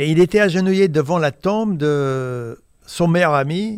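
A man with lively intonation, in a dry, close sound with no echo, on a very clean recording with a silent background. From US Midwest, Indiana. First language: English (speaking French). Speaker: photojournalist. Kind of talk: interview. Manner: halting, many repetitions and hesitations.

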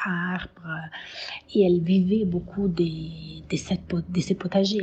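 A woman speaks with an Italian accent in a fairly low pitch. Her intonation is monotone and flat. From Italy, Tuscany (Siena). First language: Italian (speaking French). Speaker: herbalist. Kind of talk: testimony. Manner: halting, many hesitations.

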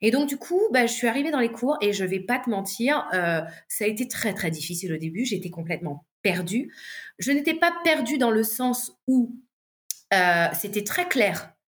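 Fairly high, somewhat breathy female speech with very wide pitch swings, delivered at a fairly slow pace. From southern France, La Ciotat. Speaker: singer and vocal coach. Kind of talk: casual interview chat.

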